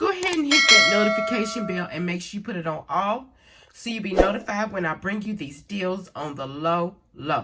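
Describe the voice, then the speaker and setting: A woman speaks at a moderate pace with lively intonation. Noticeable background noise runs underneath. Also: medium pitch for a woman. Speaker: couponing vlogger. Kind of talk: haul vlog. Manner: casual, chatty.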